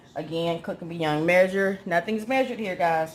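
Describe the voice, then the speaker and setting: The woman speaks at a fairly slow pace. Her pitch sits fairly low, with ordinary variation. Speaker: home cooking channel host. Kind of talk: cooking tutorial.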